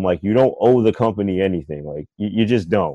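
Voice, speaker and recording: In a dry, close sound with no echo and a quiet background, a man with an American accent speaks at a moderate pace, his fairly low voice dark and mellow with lively intonation. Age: 20s. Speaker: author and filmmaker. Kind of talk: casual chat.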